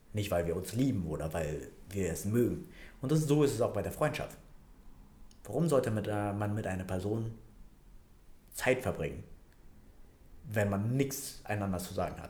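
Pausing long and often, a man speaks at a moderate pace and fairly low pitch, somewhat breathy and with lively intonation, amid audible room echo. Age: 20s. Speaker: financial planner and personal trainer. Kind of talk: casual interview. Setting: office. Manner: hesitant, many fillers.

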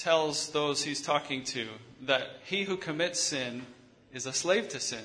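Fairly high-pitched male voice amid noticeable background noise and audible room echo. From US Midwest, Michigan. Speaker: visiting preacher. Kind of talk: sermon with consecutive interpretation.

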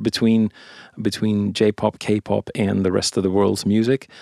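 The sound is dry and close, with no echo. The speaker has a Swedish accent. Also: man. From Sweden. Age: 50s. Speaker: songwriter and producer. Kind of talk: casual interview. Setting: studio.

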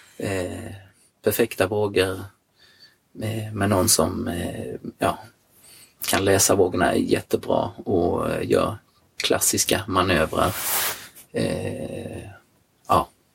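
The speaker moves at a very slow pace with long, frequent pauses and fairly even intonation. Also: man, fairly low pitch for a man. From Sweden, Jönköping. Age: 50s. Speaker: surfer. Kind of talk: casual interview. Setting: in a van.

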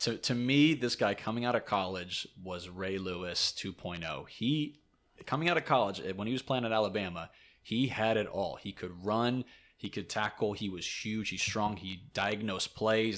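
Speaking at a moderate pace, a man with a fairly low pitch and ordinary pitch variation has an ordinary speaking voice, recorded very cleanly against a silent background. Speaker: podcast host. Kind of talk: casual banter, sports podcast. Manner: teasing, banter.

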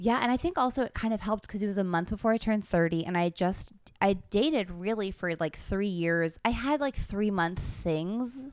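With a plain, everyday voice, a woman talks at a medium pitch and a moderate pace with hardly any pauses. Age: 30s. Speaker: comedian. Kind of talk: casual chat.

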